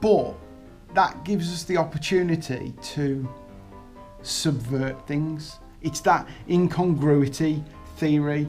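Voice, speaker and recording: Against music in the background, the speech moves at a very slow pace with fairly even intonation and long, frequent pauses. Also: woman, very deep, low pitch for a woman. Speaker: presenter introducing a comedy segment.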